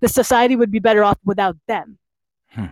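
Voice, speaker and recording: A woman is speaking. Her intonation is lively. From New Jersey, US. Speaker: poet. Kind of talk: casual chat and poetry performance, trivia game. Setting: live stream online.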